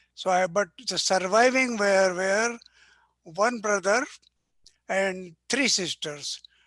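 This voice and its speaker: The speaker talks at a very slow pace with ordinary pitch variation. The background is quiet. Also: man. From central India (Gwalior). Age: 90s. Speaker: retired agriculturist and academician. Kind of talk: oral history interview. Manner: halting, self-correcting.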